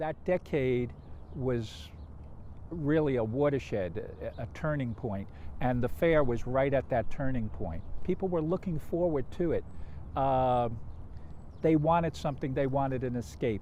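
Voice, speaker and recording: Speaking with a New York accent, a man has a medium pitch and a dark, mellow tone. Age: 60s. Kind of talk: interview.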